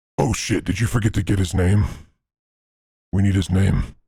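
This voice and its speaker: A man talks at a moderate pace in a put-on character voice. His pitch sits fairly low. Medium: actual play. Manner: blunt, curt.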